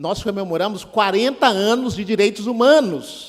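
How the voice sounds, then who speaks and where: A man's high-pitched voice. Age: 60s. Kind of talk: seminar talk. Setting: auditorium with audience.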